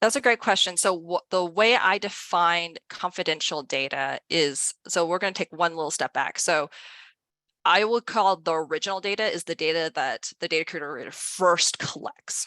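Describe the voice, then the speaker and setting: Against a quiet background, a woman with a bright, sharp tone and fairly low pitch speaks with ordinary pitch variation in a dry, close sound with no echo. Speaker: author and data privacy expert. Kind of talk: presentation. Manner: fast; animated.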